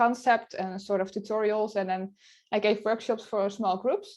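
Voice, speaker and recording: A woman with a Dutch accent speaks at a fairly quick pace in a fairly high pitch. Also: quiet background. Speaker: photographer and blogger. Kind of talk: interview. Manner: halting.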